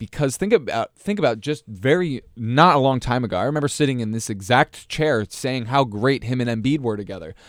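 With a plain, everyday voice, a man talks at a fairly quick pace with hardly any pauses, lively intonation and medium pitch, on a very clean recording with a silent background. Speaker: basketball podcast co-host. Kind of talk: casual sports discussion podcast. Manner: laughs often, easygoing.

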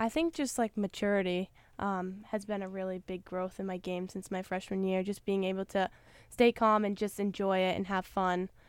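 An ordinary speaking voice with an American accent talks at a moderate pace with fairly even intonation. The recording is very clean, with a silent background. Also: woman, medium pitch for a woman. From Maine, US. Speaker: college basketball player. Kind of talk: interview.

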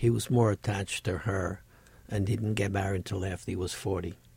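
A man's fairly low, somewhat breathy voice at a fairly quick pace, with fairly even intonation. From Sicily, Italy. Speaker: painter. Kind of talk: casual interview.

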